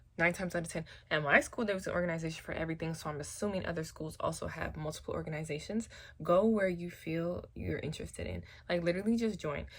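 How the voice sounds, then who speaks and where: A woman speaks very fast with vocal fry. Her pitch is fairly low. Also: ordinary pitch variation. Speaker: hairstylist. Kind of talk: casual talk to camera. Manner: soft-spoken.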